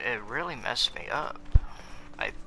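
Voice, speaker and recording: A man speaking at a moderate pace. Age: 20s. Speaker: gamer telling his life story. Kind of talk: personal storytelling while gaming. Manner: halting.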